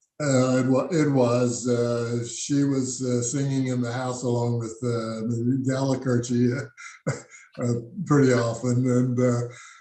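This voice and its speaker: A man with an American accent speaks at a very slow pace in a medium pitch, his intonation monotone and flat, with audible room echo around him. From South Texas. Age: 80s+. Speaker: jazz musician. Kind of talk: interview. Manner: halting.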